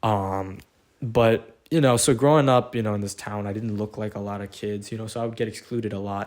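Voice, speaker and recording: This man's fairly low voice moves at a moderate pace with fairly even intonation, on a very clean recording with a silent background. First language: not English (English is third language). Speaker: podcast guest. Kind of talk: casual chat. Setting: bedroom.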